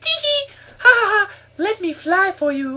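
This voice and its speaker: A put-on character voice sits at an extremely high pitch and swings very widely up and down. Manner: giggly, playful.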